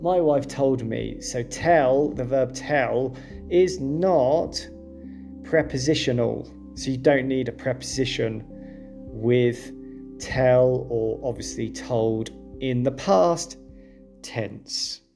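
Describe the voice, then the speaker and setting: Music plays behind a man speaking in a British accent. His tone is calm and his pace very slow. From UK. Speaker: English teacher. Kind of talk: English lesson narration. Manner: calm, clear.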